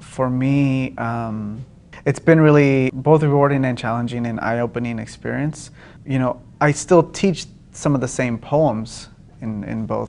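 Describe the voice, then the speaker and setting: Speaking in a Spanish accent, a man uses a medium pitch and fairly even intonation at a fairly slow pace against a quiet background. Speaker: poet and writing teacher. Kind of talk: public interview. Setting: public event at a university. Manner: halting, many fillers and repeats.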